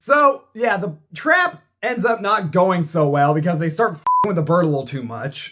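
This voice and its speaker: A man talks at a fairly slow pace in a high pitch for a man, his tone bright and sharp. His intonation is lively and his tone animated. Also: hardly any pauses. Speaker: movie reviewer. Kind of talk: drunk movie recap.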